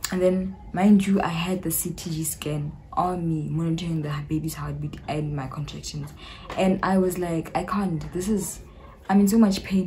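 Over light background noise, a woman with a South African accent talks at a moderate pace, her fairly low pitch held in fairly even intonation. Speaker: YouTuber. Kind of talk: casual talk to camera. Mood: animated, recounting a painful labour. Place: home room. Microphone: phone near.

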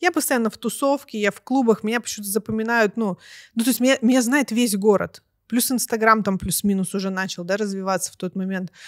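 A woman speaks at a very fast pace with a fairly high pitch and ordinary pitch variation. The background is quiet. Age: 40s. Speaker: reality show contestant and author; podcast guest. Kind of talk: casual interview; interview answer. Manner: animated. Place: studio. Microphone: studio mic.

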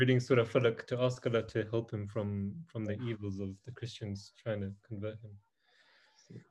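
A man's medium-pitched, somewhat breathy voice at a fairly quick pace, monotone and flat, with big swings in loudness. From Mauritius. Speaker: youth group leader. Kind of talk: casual religious talk.

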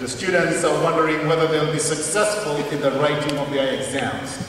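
Strong room echo and light background noise surround the recording. A man speaks with ordinary pitch variation. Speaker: preacher. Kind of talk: sermon. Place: church.

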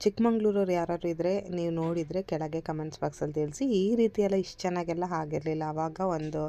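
A woman's dark, mellow voice sits at a fairly low pitch with ordinary pitch variation. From Chikmagalur, Karnataka. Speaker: vlogger, mother. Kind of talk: casual vlog narration.

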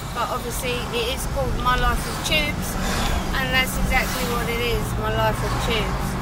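A woman at a moderate pace over loud background noise, the sound dry with no echo. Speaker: vlogger driving. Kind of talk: casual vlog chat. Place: car. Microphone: camera far.

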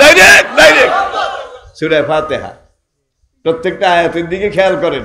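A man's voice with big swings in loudness against crowd noise in the background. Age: 80s+. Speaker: Islamic preacher. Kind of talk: sermon. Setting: live religious gathering. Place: stage. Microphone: podium.

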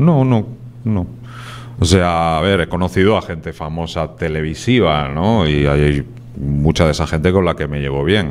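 A man with a Spanish accent has a very deep, low voice. He talks at a fairly slow pace with lively intonation. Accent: Peninsular Spanish. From Spain. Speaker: writer. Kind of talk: TV interview. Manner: casual. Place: studio. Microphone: handheld.

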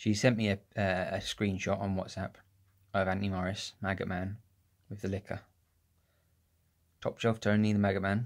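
Against a quiet background, a man speaks at a fairly low pitch with monotone, flat intonation. His pace is moderate, broken by long, frequent pauses. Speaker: vlogger. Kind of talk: casual vlog chat. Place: home room. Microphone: phone near.

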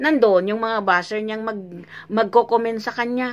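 The pace here is moderate. The voice belongs to a woman. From Philippines, Zamboanga; Philippines. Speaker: vlogger. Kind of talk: reaction video commentary. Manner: animated. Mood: indignant, scolding. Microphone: phone near.

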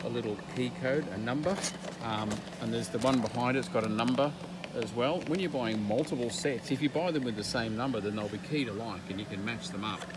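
Talking at a very fast pace, a man is heard in a dry sound with no echo. Noticeable background noise runs underneath. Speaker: homeowner reviewing locks. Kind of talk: casual vlog commentary. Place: shop. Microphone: phone near.

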